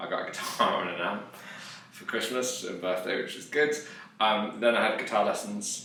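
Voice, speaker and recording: A man speaks at a moderate pace, with audible room echo and noticeable background noise around him. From West Midlands, England (Dudley). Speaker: musician and music lecturer. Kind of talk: casual interview chat.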